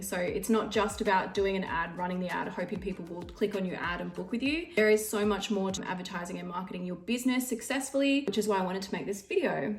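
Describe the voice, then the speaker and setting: Music plays in the background as a woman with an Australian accent talks at a fairly quick pace amid audible room echo. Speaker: beauty business owner and trainer. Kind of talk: tutorial. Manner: fast.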